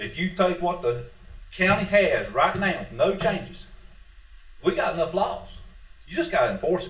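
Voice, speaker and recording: A high-pitched man with a Southern US accent, moderate pace and lively intonation, amid audible room echo. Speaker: public commenter, retired police officer and hunter. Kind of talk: public comment at meeting. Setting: county board meeting.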